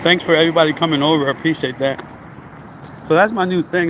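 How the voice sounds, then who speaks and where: A man's fairly high, fairly even-toned voice at a very fast pace, amid noticeable background noise. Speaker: fitness vlogger, former trucker. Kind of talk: casual vlog while walking and running outdoors.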